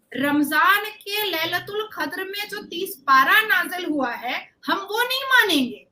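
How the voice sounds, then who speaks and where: The voice is raised and projected, bright and sharp in tone, with lively intonation and hardly any pauses. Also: woman, extremely high pitch for a woman. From India. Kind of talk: debate argument. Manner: animated.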